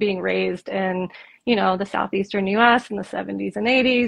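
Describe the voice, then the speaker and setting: Her voice is a plain, everyday voice, pitched in the medium range for a woman. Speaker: psychotherapist and life coach. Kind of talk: casual chat.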